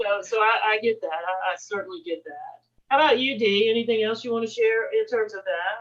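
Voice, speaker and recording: A woman with a plain, everyday voice, fairly high in pitch, with lively intonation and a fairly quick pace. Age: 50s. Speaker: music educator, discussion host. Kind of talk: panel discussion.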